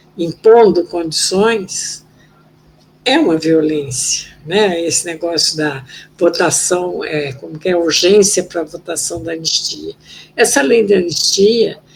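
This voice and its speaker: Her intonation is lively while she speaks at a very slow pace. Noticeable background noise runs behind the woman. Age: 70s. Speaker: former political prisoner and human rights activist. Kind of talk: interview testimony.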